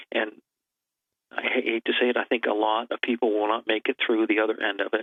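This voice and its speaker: Using a normal speaking voice, a man at a medium pitch talks at a fairly quick pace. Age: 60s. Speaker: preparedness advocate. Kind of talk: talk show interview.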